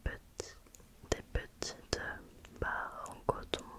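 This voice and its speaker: A woman whispers very slowly while noticeable background noise continues. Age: 20s. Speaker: ASMR creator. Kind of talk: ASMR roleplay, close personal attention. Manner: soft-spoken, gentle, slow, soothing.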